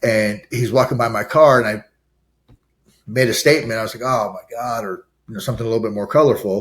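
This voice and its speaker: A man's medium-pitched voice in an American accent, very fast, with big swings in loudness. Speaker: addiction recovery and re-entry advocate, ex-prisoner. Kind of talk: interview conversation. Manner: animated.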